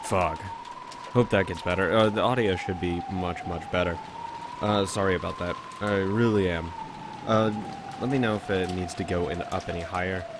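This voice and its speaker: Fairly even intonation and long, frequent pauses, with audible room echo and noticeable background noise. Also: man, fairly low pitch for a man, moderate pace. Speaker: let's play commentator. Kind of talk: casual gaming commentary.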